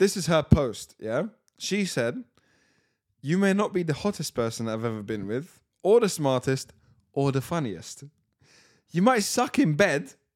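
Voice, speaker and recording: A man in a London accent, fairly high in pitch with very wide pitch swings, at a fairly slow pace with long, frequent pauses, in a very clean recording with a silent background. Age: 20s. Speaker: podcast host. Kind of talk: casual chat.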